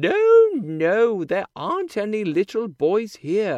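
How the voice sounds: Using a put-on character voice, a man speaks slowly at a high pitch with very wide pitch swings and a slightly mellow tone.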